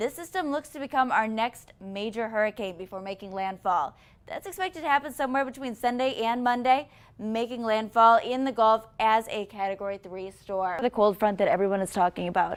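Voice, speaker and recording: A woman speaks in an ordinary speaking voice, pitched fairly high, with big swings in loudness. The recording is very clean, with a silent background. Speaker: TV meteorologist. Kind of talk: TV weather forecast.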